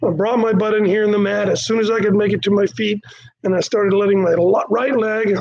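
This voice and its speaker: A man talks at a fairly quick clip with a high pitch. Noticeable background noise runs behind him. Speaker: martial arts instructor. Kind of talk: live-streamed class talk. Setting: live stream from training studio. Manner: casual, animated.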